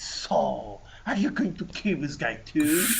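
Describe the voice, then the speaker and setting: A man puts on a character voice at a fairly slow pace against clear background noise. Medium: actual play. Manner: blunt, impatient.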